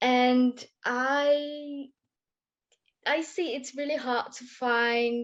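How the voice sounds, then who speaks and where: A woman speaks in a high pitch with a non-native accent. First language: not English. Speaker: ecology graduate asking question. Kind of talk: audience question. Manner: hesitant.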